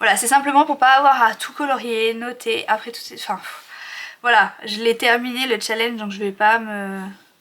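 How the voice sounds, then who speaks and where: A woman's voice with fairly even intonation swings widely in loudness over noticeable background noise. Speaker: budgeting YouTuber. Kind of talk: tutorial. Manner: fast.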